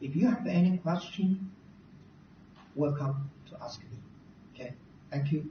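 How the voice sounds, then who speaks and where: The speech moves at a fairly slow pace with long, frequent pauses, and there is noticeable background noise. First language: not English. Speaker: university recruitment presenter. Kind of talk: presentation. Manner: halting.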